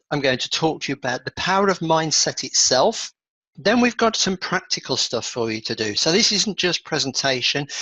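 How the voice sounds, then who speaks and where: Bright and sharp in tone, a man with an English accent speaks at a fairly high pitch and moderate pace, with very wide pitch swings and a dry, close sound with no echo. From England. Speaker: achievement coach. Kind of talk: webinar presentation.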